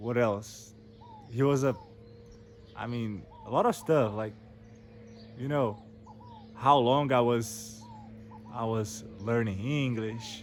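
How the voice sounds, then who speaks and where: With a Portuguese accent, a man talks very slowly at a medium pitch and fairly even intonation, leaving long, frequent pauses amid audible room echo and noticeable background noise. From Brazil. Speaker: English learner vlogger. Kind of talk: casual storytelling monologue. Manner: halting, many repetitions and fillers.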